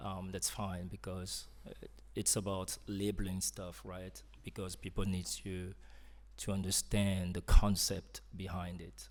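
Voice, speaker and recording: A man with a French accent at a fairly slow pace, his loudness swinging widely. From Cameroon, French-speaking side. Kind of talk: interview conversation. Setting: live event with audience. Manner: hesitant, many fillers.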